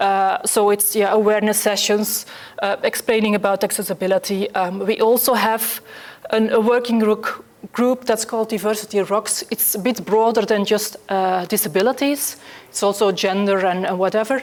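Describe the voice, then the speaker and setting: A woman with a fairly high pitch and fairly even intonation is heard over noticeable background noise. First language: Dutch. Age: 40s. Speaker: accessibility specialist. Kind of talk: conference talk. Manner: fast; halting.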